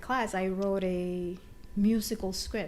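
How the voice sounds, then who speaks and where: In a Dominican accent, a woman of medium pitch speaks at a fairly slow pace, with audible room echo. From Dominican Republic. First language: Spanish. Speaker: TV writer. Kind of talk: interview.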